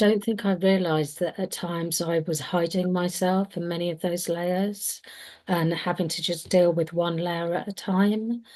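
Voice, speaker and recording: A woman with a British accent, fairly low in pitch, at a fairly slow pace with monotone, flat intonation. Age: 50s. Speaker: panelist, advocate. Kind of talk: panel discussion. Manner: hesitant, many fillers.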